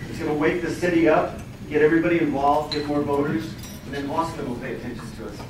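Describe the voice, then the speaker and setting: A man with an American accent talks at a very fast pace and fairly high pitch, with fairly even intonation and big swings in loudness. Noticeable background noise and audible room echo fill the recording. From El Paso, Texas. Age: 60s. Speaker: city council candidate. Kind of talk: campaign speech at candidate forum.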